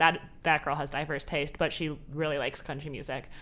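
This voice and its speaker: Someone talks at a very fast pace in an American accent. The recording is very clean with a silent background. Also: woman. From Southern California. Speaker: film student. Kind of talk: casual chat.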